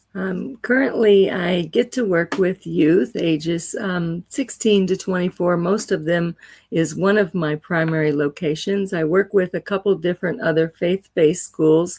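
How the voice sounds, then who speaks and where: An ordinary speaking voice from a woman, fairly low in pitch, with ordinary pitch variation at a fairly slow pace, in dry, close sound with no echo. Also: hardly any pauses. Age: 60s. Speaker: educator. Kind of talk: interview.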